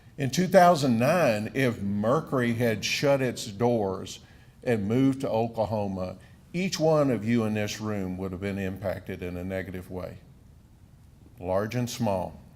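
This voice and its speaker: A man speaks at a fairly slow pace in a medium pitch, his intonation lively, with audible echo from the room. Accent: American. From southern Wisconsin. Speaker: economic development official. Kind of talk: speech at podium. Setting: stage with audience.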